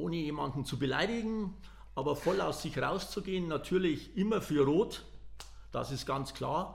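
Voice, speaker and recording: A man speaks at a fairly slow pace in a fairly high voice with vocal fry and lively intonation, and the room echo is audible. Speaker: football fan. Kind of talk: casual chat. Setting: large room.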